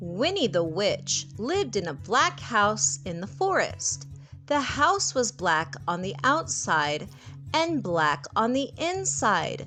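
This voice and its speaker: Music plays in the background as a woman speaks. She has an American accent and a very slow pace. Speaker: English tutor. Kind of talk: children's story reading.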